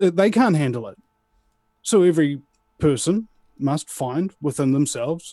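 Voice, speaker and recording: A man with a New Zealand accent, dark and mellow in tone, at a moderate pace with lively intonation, dry and close with no echo. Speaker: alternative media broadcaster. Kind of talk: casual interview chat. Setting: live show.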